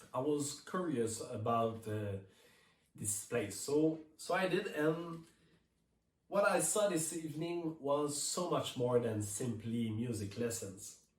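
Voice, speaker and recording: Through audible room echo, a man with a slight French Canadian accent speaks at a very slow pace, his pitch swinging very widely. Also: fairly high pitch for a man. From Quebec. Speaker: touring keyboard player. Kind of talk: prepared speech read from notes. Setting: remote video message.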